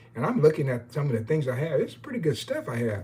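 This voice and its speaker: Somewhat breathy and fairly high, a man's voice with an American accent moves at a fairly quick pace through very wide pitch swings. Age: 60s. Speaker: baseball historian and YouTuber. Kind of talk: live stream chat. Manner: hesitant, many fillers; casual, rambling.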